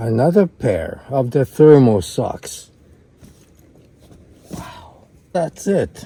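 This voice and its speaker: Long pauses come often. Delivery is very slow. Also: man. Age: 80s+. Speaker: vlogger. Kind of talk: casual vlog.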